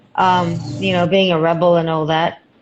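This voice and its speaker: Fairly slow delivery from a woman with a non-native accent. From Israel. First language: not English. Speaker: actor and acting coach. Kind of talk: casual interview. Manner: hesitant, many fillers.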